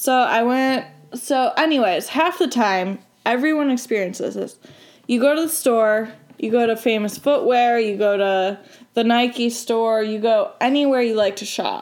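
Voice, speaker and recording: With an ordinary speaking voice, a woman talks at a fairly slow pace. Her pitch sits fairly high and varies in an ordinary way. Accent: American. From Michigan. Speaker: college student, guest. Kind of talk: casual chat.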